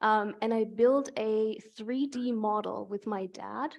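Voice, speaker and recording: In a German accent, a woman talks at a fairly high pitch with ordinary pitch variation over a quiet background. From Germany. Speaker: climate researcher. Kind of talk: Q&A interview at public lecture.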